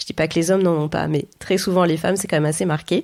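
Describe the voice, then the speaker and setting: A woman speaks in a dark, mellow tone. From France, Auvergne (Clermont-Ferrand). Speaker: entrepreneur and ghostwriter. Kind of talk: interview conversation. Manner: hesitant, frequent fillers.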